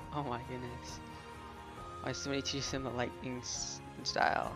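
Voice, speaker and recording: A man speaks at a medium pitch with ordinary pitch variation. Music can be heard in the background. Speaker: reaction video host. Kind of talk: casual reaction talk to camera. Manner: sometimes mumbles.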